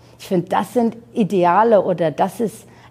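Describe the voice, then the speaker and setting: A woman talks in a plain, everyday voice at a moderate pace, with ordinary pitch variation. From Iran, then Germany from age nine. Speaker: fashion designer and entrepreneur. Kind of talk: interview.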